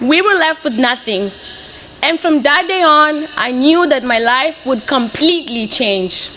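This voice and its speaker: A woman speaks in a raised, projected voice at a moderate pace, her high pitch and lively intonation carrying over noticeable background noise. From Mozambique, Beira. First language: Portuguese. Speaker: graduating student. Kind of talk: commencement speech.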